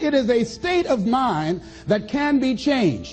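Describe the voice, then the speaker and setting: Over music in the background, a man with an American accent speaks at an extremely high pitch with lively intonation. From American, Miami Florida. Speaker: motivational speaker. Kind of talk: motivational speech to an audience. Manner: high-energy, emphatic.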